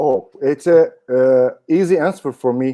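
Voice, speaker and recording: A man with a non-native accent has a dark, mellow tone and ordinary pitch variation. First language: German. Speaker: dog handler and trainer. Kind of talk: interview. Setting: live online broadcast. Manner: halting.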